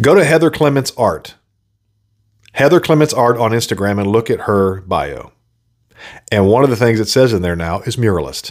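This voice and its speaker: Delivered at a moderate pace with lively intonation and long, frequent pauses, the speech is on a very clean recording with a silent background. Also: man, medium pitch for a man. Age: 40s. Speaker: podcast host and video producer. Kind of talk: solo monologue podcast. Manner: casual, halting with frequent fillers.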